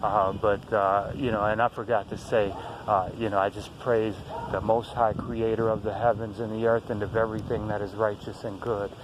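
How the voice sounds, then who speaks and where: Noticeable background noise sits behind a man with a fairly low pitch. His intonation is monotone and flat at a moderate pace. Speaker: conspiracy video blogger. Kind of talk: casual monologue to camera. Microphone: poor sound, low volume.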